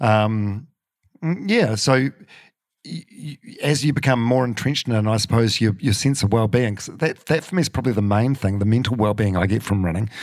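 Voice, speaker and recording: Using a New Zealand accent, a man talks fairly quickly at a medium pitch with ordinary pitch variation. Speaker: radio broadcaster and podcaster. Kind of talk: casual chat. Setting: in a living room at home. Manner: halting, many fillers and repeats.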